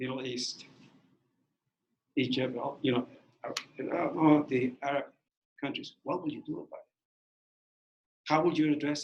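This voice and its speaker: The speaker has a non-native accent and a monotone, flat intonation at a moderate pace. Long, frequent pauses and big swings in loudness run through the speech. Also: man, fairly high pitch for a man. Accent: foreign accent, lasting. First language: Spanish. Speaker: former bilingual teacher, guest speaker. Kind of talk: talk to student teachers. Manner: halting, repeats words.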